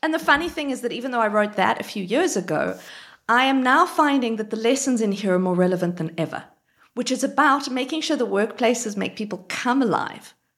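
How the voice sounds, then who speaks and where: Her intonation is lively, in an Australian accent. The woman keeps a fairly quick pace. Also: fairly high pitch for a woman. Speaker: marketer, author and TEDx speaker. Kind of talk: live interview chat. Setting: live stream with audience.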